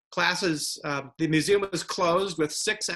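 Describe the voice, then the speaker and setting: In an American accent, a man talks at a moderate pace with a bright, sharp tone. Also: quiet background. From United States. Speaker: museum director panelist. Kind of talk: panel discussion. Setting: video call. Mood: sober, measured. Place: home room. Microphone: video call.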